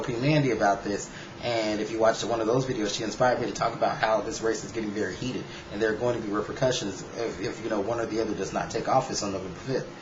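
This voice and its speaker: Against noticeable background noise and audible room echo, a medium-pitched man with an American accent talks at a very fast pace with fairly even intonation. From United States. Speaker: YouTube vlogger. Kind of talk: casual vlog commentary.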